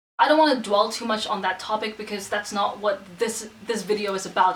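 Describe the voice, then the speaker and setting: Noticeable background noise surrounds a woman who talks fairly quickly. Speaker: vlogger. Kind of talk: casual vlog monologue. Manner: not soft or gentle.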